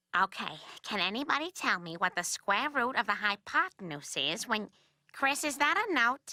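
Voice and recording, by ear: A woman's cartoonish character voice, fairly high-pitched, with very wide pitch swings at a moderate pace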